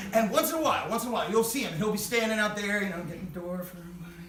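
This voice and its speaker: Over noticeable background noise, a man with a high pitch speaks in a raised, projected voice with an energetic tone. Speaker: storyteller. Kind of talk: live stage storytelling. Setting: live theater audience. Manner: raucous, energetic.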